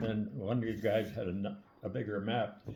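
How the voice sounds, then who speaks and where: A man talks in a fairly low, somewhat breathy voice. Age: 90s. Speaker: army veteran. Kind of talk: storytelling. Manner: halting.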